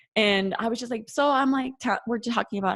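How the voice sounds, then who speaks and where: On a very clean recording with a silent background, a woman with a North Dakota accent talks at a fairly quick pace. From North Dakota, US. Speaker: occupational therapist and podcaster. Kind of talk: podcast interview, casual chat. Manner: many fillers like 'you know' and 'um'.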